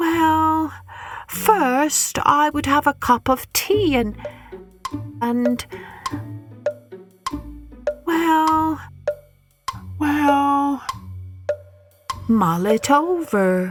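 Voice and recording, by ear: In a put-on character voice, a woman speaks with a high pitch and lively intonation at a very slow pace. Long, frequent pauses break up her speech over faint music in the background.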